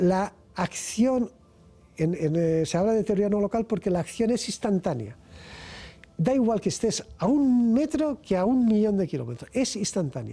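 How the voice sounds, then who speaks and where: Speaking at a moderate pace, a man with a high pitch and a dark, mellow tone uses lively intonation. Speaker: physics researcher and professor. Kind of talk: interview. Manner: halting, repetitions.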